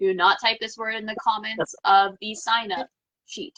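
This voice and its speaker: In an American accent, the voice has a bright, sharp tone and a dry, close sound with no echo. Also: woman. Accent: slight southern US accent, stronger when mad. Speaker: tarot livestream host. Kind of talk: casual livestream chat.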